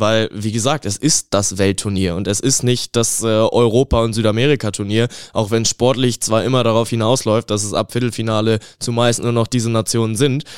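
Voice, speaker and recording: A man's unremarkable speaking voice at a moderate pace, with fairly even intonation and a dry, close sound with no echo. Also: medium pitch for a man, very clean recording, silent background. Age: 20s. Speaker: sports student and football fan. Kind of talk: interview.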